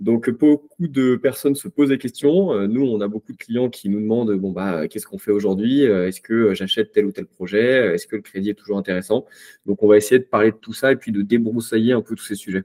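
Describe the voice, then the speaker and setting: An ordinary speaking voice moves at a fairly quick pace with ordinary pitch variation, the sound dry and close with no echo. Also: man, medium pitch for a man. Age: 30s. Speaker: real estate investor. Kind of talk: interview.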